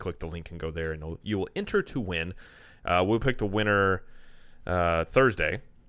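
In a very clean recording with a silent background, a man speaks in a very deep, low voice with a bright, sharp tone. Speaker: podcast host. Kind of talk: casual chat.

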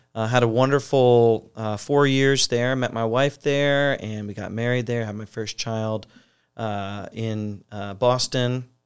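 A man at medium pitch, a normal speaking voice, with an American accent against a quiet background. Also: fairly even intonation, fairly slow pace. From US Midwest, Ohio. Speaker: New Testament professor. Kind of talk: interview about his book.

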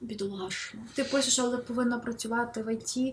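Using an unremarkable speaking voice, a woman talks at a moderate pace with a fairly high pitch and ordinary pitch variation. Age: 20s. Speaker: novelist. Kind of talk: interview.

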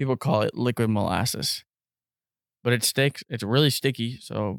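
A man with an unremarkable speaking voice talks at a medium pitch and moderate pace, with ordinary pitch variation. The recording is very clean and dry, close-sounding with no echo and a silent background. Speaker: podcast host. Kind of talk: casual chat. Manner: casual, swearing, conversational.

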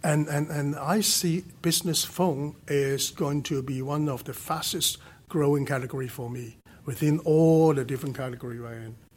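With a Hong Kong accent, a man talks at a moderate pace in a somewhat breathy voice, fairly high in pitch with ordinary pitch variation. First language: Cantonese. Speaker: telecom company executive. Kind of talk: interview. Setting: studio.

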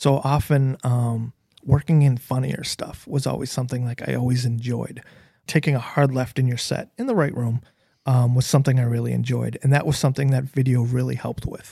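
Somewhat breathy, dark, mellow delivery from a man with an American accent, at medium pitch and a fairly quick pace, with monotone, flat intonation. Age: 40s. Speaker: DJ. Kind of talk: casual chat.

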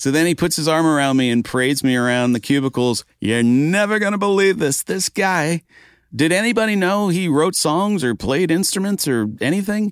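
This man's voice sits high and makes very wide pitch swings at a moderate pace. Loudness stays very even, and the very clean recording is dry and close, with no echo and a silent background. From Maine. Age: 60s. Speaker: songwriter. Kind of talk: casual chat.

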